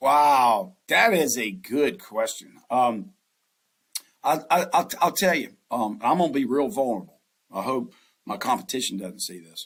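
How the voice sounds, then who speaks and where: In a Southern US accent, a man speaks at a fairly high pitch with very wide pitch swings. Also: fairly slow pace. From US South. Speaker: investment banker. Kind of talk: podcast interview.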